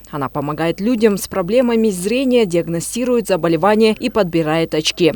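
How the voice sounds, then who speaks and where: Pauses are hardly present. The pace is moderate. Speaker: TV news reporter. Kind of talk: TV news report narration.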